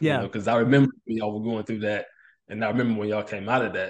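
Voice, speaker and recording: In a normal speaking voice, a man talks at a fairly low pitch with fairly even intonation. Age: 30s. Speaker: police officer. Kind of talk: casual chat.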